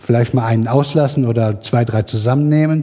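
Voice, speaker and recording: Its tone is dark and mellow. The voice is somewhat breathy, and its pitch moves with ordinary variation. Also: man. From Sauerland, Germany. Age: 40s. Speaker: science podcast curator on Twitter. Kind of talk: self-introduction at workshop. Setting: workshop room with live audience.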